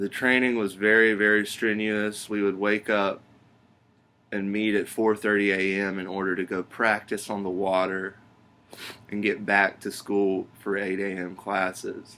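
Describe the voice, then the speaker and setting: With an Alabama accent, a man of fairly low pitch speaks at a fairly slow pace in a bright, sharp, monotone, flat voice. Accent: Southern US (Alabama). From US South, Alabama (Pelham). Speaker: job applicant. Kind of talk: video job application, self-introduction. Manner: halting, with frequent ums.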